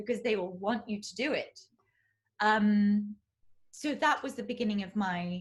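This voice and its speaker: Speaking with a southern English accent, a woman has a fairly high, somewhat breathy voice with ordinary pitch variation. Her pace is fairly slow, with long, frequent pauses. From southeast England. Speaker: classical crossover singer. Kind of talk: interview answer.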